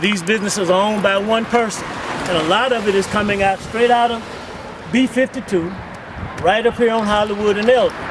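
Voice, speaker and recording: With noticeable background noise behind him, a man talks at a fairly quick pace in a high pitch, his intonation fairly even. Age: 70s. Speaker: community activist. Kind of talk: street interview. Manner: impassioned.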